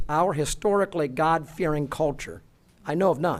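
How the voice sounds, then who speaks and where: A man with lively intonation. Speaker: former state legislator giving public comment. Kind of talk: public hearing testimony. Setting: public hearing room with audience. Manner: formal.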